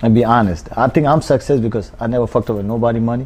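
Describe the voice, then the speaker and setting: A man with a non-native accent speaks at a very fast pace with a medium pitch and ordinary pitch variation. Noticeable background noise sits behind him. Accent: foreign, non-native English. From Pakistan. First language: not English. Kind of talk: casual interview. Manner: animated.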